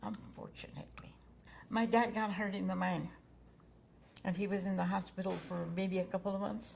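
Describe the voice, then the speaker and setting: A woman speaks at a moderate pace, leaving long, frequent pauses. Audible echo fills the room. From New Mexico, near Gallup. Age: 80s+. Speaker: former waitress. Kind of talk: oral history interview.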